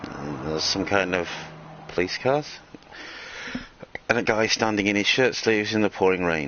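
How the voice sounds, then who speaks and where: A man with a fairly low pitch talks at a moderate pace with lively intonation. Long, frequent pauses break up his speech over noticeable background noise. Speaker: gaming streamer. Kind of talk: let's play commentary. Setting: live stream.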